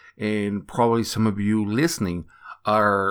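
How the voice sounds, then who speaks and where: This man has a non-native accent and a fairly low, bright, sharp voice with ordinary pitch variation. He speaks at a moderate pace in a very clean recording with a silent background. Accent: noticeable foreign. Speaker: e-commerce entrepreneur and podcast host. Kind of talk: solo podcast monologue.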